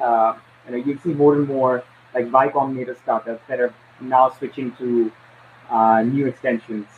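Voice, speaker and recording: Over noticeable background noise, a man speaks at a moderate pace in a medium, monotone, flat pitch, with long, frequent pauses. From India. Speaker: domain industry business development manager. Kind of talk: interview conversation.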